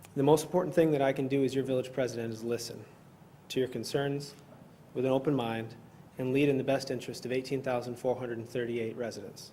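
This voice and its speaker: Very fast and in a Midwestern American accent, a man speaks with a dark, mellow tone. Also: medium pitch for a man, fairly even intonation. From northern Illinois. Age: 30s. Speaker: local politician, village president candidate. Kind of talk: candidate forum opening statement.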